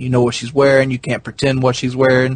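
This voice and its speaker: A very fast, somewhat breathy man with a strong Southern US accent. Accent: deep Southern American. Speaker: podcast host. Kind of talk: casual chat.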